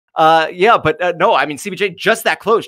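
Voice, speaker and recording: A man at a fairly quick pace with ordinary pitch variation, dry and close with no echo, music in the background. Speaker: esports color commentator. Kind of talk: live commentary.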